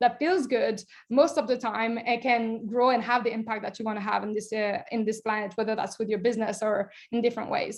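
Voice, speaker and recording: A woman with a French accent at a fairly quick pace. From France. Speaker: nutrition coach. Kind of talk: online workshop presentation. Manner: animated.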